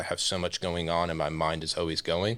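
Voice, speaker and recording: In a very clean recording with a silent background, a man with an American accent speaks very fast in a very deep, low pitch with a bright, sharp tone. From Florida (Osceola County). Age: 40s. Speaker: real estate association president. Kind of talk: interview.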